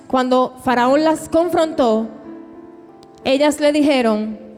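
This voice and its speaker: Noticeable background noise sits under a woman's high-pitched voice. She has lively intonation and a fairly slow pace. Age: 30s. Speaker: preacher. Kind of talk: sermon.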